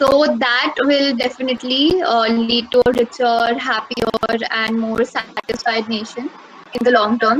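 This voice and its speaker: At a fairly slow pace, a woman with a high pitch and fairly even intonation speaks over noticeable background noise. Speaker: speaker at mental health webinar. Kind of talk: prepared speech.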